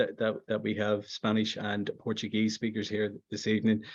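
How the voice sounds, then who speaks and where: A man with a Belfast accent speaks at a medium pitch. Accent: Northern Irish, Belfast. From Northern Ireland, Belfast. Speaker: conference presenter, educator. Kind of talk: academic presentation. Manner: halting, many fillers and repetitions.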